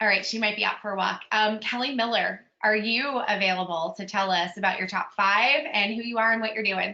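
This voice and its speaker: Speaking with hardly any pauses, a woman with a Pittsburgh accent has a fairly high pitch and fairly even intonation. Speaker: strengths coach, webinar host. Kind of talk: webinar roll call. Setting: video call webinar.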